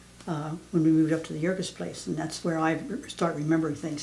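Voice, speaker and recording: A woman speaks at a very fast pace in a very deep, low voice with monotone, flat intonation, amid noticeable background noise and audible room echo. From southeastern Pennsylvania. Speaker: elderly mother interviewed about family history. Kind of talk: family oral history interview. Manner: halting, many fillers.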